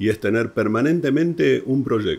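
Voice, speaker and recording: Pitch swings very widely as a man speaks at a fairly slow tempo. The background is silent on a very clean recording. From Argentina. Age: 60s. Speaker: entrepreneur, real estate professional. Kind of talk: interview.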